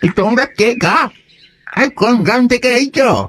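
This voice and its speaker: Fairly high in pitch, the voice is a put-on character. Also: moderate pace. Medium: audio drama.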